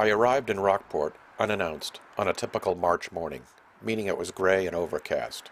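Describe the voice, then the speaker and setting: This is an unremarkable speaking voice with an American accent. The pace is fairly quick, with ordinary pitch variation. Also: man, fairly low pitch for a man. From Massachusetts, North Shore near Boston. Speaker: documentary filmmaker and reporter. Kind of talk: scripted narration.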